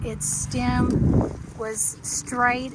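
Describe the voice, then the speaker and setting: A woman with a Texas accent speaks at a fairly high pitch. Her voice carries audible room echo over noticeable background noise. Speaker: home gardener vlogger. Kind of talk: gardening tutorial. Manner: casual, hesitant with fillers.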